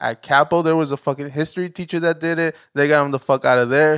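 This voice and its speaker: Very fast and in a monotone, flat intonation, a man delivers his lines. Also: dry, close sound with no echo, very clean recording, silent background. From US, Mexican-American. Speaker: podcast co-host. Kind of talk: casual chat. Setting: home studio, video recorded.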